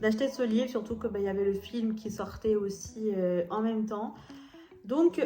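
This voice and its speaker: A woman with a fairly high pitch talks over audible room echo. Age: 20s. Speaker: lifestyle YouTuber. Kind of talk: casual book review vlog. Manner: hesitant, many fillers.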